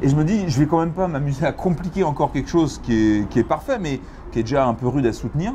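A man speaking at a fairly quick pace over light background noise. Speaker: comic book author. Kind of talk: interview answer. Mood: reflective, relaxed. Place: cafe. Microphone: lapel.

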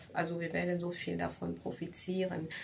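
A woman talks in a fairly low pitch with monotone, flat intonation. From Cameroon. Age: 20s. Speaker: beauty pageant contestant. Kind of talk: candidate self-presentation video. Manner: halting, many fillers.

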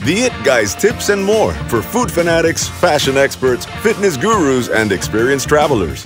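With an American accent and music in the background, a man speaks with a fairly high pitch, very wide pitch swings, very even loudness and hardly any pauses. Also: moderate pace. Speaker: voice actor. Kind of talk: commercial read.

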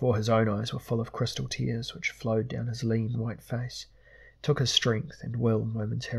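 What we hear is plain reading aloud.

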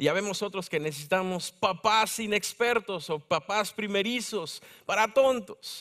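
A man speaks with a Mexico City accent at a high pitch. His tone is bright and sharp, with ordinary pitch variation over a quiet background. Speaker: preacher. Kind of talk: sermon. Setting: church. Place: church.

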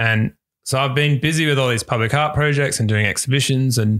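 Recorded dry and close with no echo against a silent background, this very clean clip has a man with an Australian accent talking at a moderate pace with ordinary pitch variation. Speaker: visual artist. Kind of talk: casual chat. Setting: at home.

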